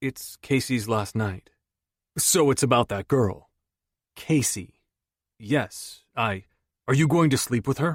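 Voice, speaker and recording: Putting on a gruff character voice, a man speaks at a fairly slow pace in a medium pitch, leaving long, frequent pauses. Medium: read story. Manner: blunt, gruff.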